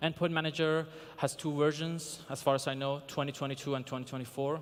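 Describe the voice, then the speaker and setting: A man with a non-native accent talks at a fairly high pitch with ordinary pitch variation. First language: not English. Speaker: security researcher, conference speaker. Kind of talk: conference talk. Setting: stage with audience. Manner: hesitant, many fillers.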